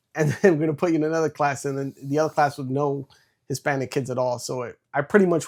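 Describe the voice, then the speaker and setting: A man with a New York accent at a very fast pace, fairly high pitch and fairly even intonation, in a dry, close sound with no echo. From New York City. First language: Spanish. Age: 30s. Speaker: entrepreneur and former Marine. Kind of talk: interview.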